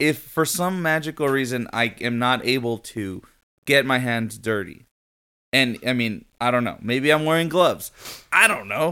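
In a very clean recording with a silent background, a man speaks in a bright, sharp, animated tone with ordinary pitch variation. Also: medium pitch for a man, moderate pace. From US-Mexico border region, Mexican-American. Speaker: podcast co-host. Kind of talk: casual chat.

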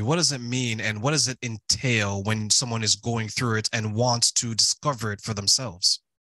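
A man with a Canadian accent talks at a fairly quick pace and medium pitch, his bright, sharp tone caught in a dry, close sound with no echo. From Toronto, Canada. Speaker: podcast host. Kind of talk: interview.

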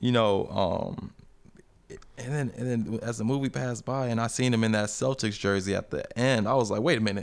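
An ordinary speaking voice from a man at medium pitch, with a fairly quick pace and ordinary pitch variation. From Colorado, US (born in Liberia, moved at two). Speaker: actor. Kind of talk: casual chat.

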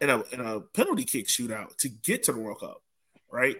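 Music plays behind a man's voice. He speaks at a moderate pace. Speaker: podcast host. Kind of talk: casual chat.

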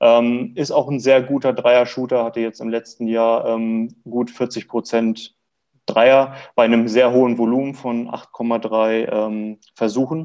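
Speaking at a very slow pace, a man holds a medium pitch with monotone, flat intonation. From Lower Saxony, Germany (near Hildesheim). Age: 20s. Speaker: basketball fan club draft expert. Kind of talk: casual sports podcast chat.

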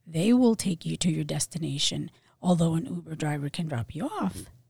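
A woman with fairly low pitch and vocal fry speaks at a moderate pace, the sound dry and close with no echo. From Philadelphia, moved from Puerto Rico at five or six. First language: Spanish. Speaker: realtor and nursing professor. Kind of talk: casual interview chat. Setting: studio.

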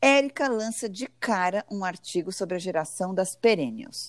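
Here is a normal speaking voice with lively intonation. The recording is very clean with a silent background and a dry, close sound with no echo. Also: woman. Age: 40s. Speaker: podcast co-host, journalist. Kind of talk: casual chat; scripted intro.

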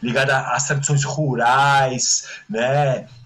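A man with a fairly high pitch speaks while noticeable background noise continues. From Brazil, Santos (São Paulo coast). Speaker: musician and musicologist. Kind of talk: casual interview chat.

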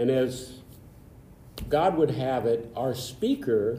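There is audible room echo around a man's medium-pitched voice. He talks at a very slow pace. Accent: American. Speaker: past club president. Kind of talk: interview storytelling. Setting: studio.

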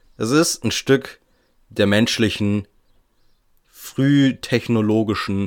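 A man speaking at a very slow pace with lively intonation, on a very clean recording with a silent background. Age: 20s. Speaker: podcast host. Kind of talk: solo podcast monologue. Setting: attic room at home. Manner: casual, chatty.

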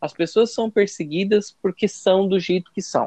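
A man at a moderate pace, dry and close with no echo, over a quiet background. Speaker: professor. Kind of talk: casual interview.

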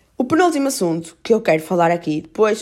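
This woman, with a strong Porto accent, swings very widely in pitch. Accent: strong northern Portuguese (Porto). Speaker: podcaster. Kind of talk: casual solo monologue. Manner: casual, filler-heavy.

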